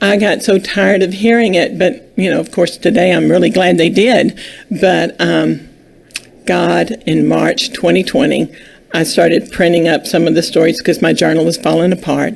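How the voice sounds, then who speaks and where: Speaking at a moderate pace with very even loudness, a woman is heard over noticeable background noise. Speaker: children's book author. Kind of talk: interview.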